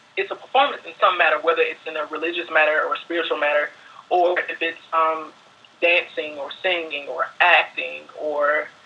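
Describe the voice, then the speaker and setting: Against noticeable background noise, a man with an American accent speaks at a moderate pace, high in pitch with fairly even intonation. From US South (Alabama). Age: 20s. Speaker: dance student. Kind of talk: interview monologue.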